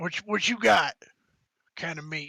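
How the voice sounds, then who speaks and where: In a put-on character voice, a man rasps out his lines with a dry, close sound and no echo. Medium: actual play. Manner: terse, businesslike.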